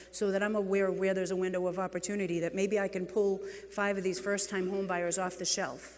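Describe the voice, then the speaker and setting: The speech comes at a very fast pace with a New England accent. Noticeable background noise is present. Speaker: real estate executive and keynote speaker. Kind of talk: conference keynote speech. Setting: stage with audience. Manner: animated.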